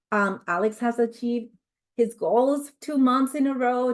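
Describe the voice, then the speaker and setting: In a Spanish accent, a woman speaks at a moderate pace. Her pitch varies in an ordinary way, and the background is quiet. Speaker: corporate trainer. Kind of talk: online training presentation.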